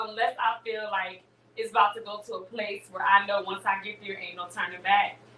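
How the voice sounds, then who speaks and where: A woman's fairly high-pitched voice at a fairly quick pace, with noticeable background noise. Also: big swings in loudness. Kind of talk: casual chat. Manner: loud; animated.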